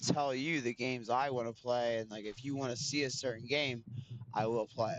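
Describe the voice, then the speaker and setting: Through noticeable background noise, a man of medium pitch speaks at a moderate pace with fairly even intonation. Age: 20s. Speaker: video game streamer. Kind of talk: live gameplay stream chat.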